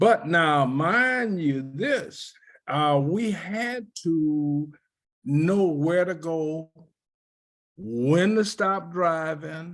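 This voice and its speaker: A man talks very slowly in a high voice with lively intonation. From US South, New Orleans. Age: 80s+. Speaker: civil rights veteran. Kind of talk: oral history interview.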